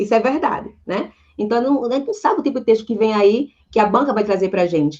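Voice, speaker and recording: A woman talks at a very fast pace. Her voice is fairly high, with lively intonation. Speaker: Portuguese language teacher. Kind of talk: online lecture.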